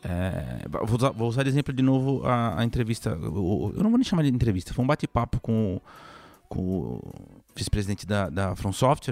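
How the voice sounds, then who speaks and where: A man speaks in an unremarkable speaking voice, with lively intonation. The sound is dry and close, with no echo. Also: medium pitch for a man, moderate pace. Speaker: video game journalist. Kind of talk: casual chat.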